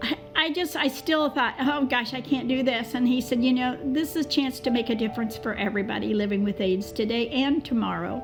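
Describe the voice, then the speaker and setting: A high-pitched woman talks at a fairly quick pace with hardly any pauses and very even loudness. Music plays in the background, and her pitch varies in an ordinary way. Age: 70s. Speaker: HIV/AIDS activist, mother of a boy who died of AIDS. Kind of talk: personal testimony on a panel. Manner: halting, with many hesitations.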